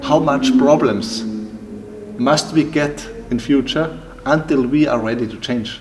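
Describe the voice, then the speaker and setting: In a German accent, the speaker goes at a very slow pace amid audible room echo and noticeable background noise. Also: man. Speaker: timber building entrepreneur. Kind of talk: interview. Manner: halting, with many repetitions and fillers.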